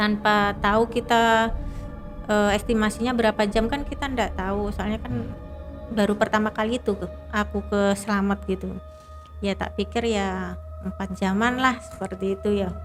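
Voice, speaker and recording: There is music behind the speaker. She is a woman talking at a moderate pace. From Indonesia, East Java. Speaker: mountain hiker. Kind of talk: interview answer.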